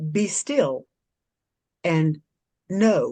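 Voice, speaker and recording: In a booming, put-on character voice, a woman speaks at a medium pitch with very wide pitch swings, with a dry, close sound and no echo. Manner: commanding, calm.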